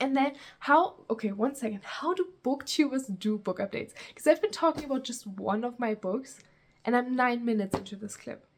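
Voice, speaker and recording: Lively intonation and a fairly quick pace mark this voice with a German accent. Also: woman, high pitch for a woman. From Germany. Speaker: booktuber. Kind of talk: casual vlog talk. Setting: outdoors. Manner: casual, rambling with fillers.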